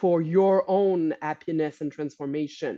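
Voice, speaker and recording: The recording is dry and close, without any echo. A woman speaks in a dark, mellow tone. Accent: French. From Quebec. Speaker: holistic coach and healer. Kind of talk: podcast interview. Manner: halting, many restarts.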